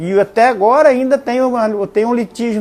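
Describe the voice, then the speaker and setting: The speaker is a man. He goes at a moderate pace. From western Paraná, Brazil. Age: 60s. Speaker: local elder interviewee. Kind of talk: oral history testimony. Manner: halting, with many fillers.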